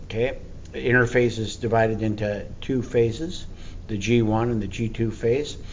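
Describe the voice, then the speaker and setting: With audible room echo, a man talks at a moderate pace and medium pitch, his intonation fairly even. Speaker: teacher. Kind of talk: lecture.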